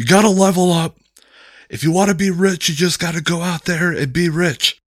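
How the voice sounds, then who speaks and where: A man in a put-on character voice, high in pitch, at a moderate pace with fairly even intonation. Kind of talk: self-help seminar. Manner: hyped, preachy, loud.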